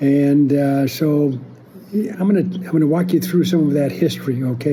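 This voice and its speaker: Through audible room echo and noticeable background noise, a man speaks at a fairly high pitch. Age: 70s. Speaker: family historian. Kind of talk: casual monologue. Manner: halting.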